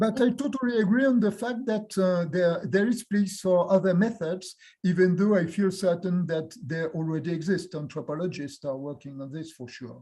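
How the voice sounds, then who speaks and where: A man speaks with a French accent at a moderate pace, his pitch high and his tone dark and mellow. His intonation is lively, he hardly pauses, and his loudness swings widely. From France. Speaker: university professor and geographer. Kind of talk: academic Q&A discussion. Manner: halting, many hesitations.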